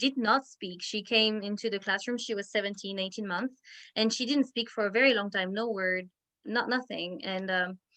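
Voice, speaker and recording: With a French accent, a woman speaks in a fairly high voice with fairly even intonation. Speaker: Montessori teacher leading parent workshop. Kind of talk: parent education talk over video call. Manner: halting, many repetitions and fillers.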